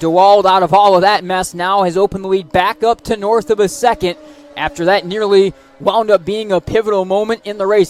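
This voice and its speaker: Over noticeable background noise, a man talks at a fairly quick pace with fairly even intonation, the sound dry and close with no echo. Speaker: racing play-by-play announcer. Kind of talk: live sports play-by-play broadcast.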